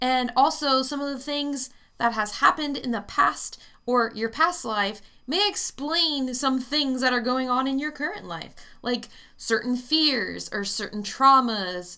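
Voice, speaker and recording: A woman's raised, projected voice with lively intonation at a fairly slow pace, against a quiet background. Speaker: psychic reader vlogger. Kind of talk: casual vlog chat. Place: home room. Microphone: webcam.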